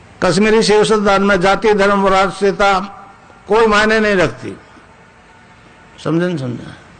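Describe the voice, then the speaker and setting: A man with a high pitch and fairly even intonation speaks with long, frequent pauses, with audible room echo and noticeable background noise. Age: 80s+. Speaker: spiritual teacher. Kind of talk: spiritual discourse.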